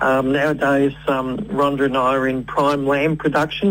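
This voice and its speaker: Here a man speaks at a fairly high pitch with an Australian accent. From Australia (Victoria, Kilmore East). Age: 70s. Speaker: farmer. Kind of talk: radio interview. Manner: halting, many fillers.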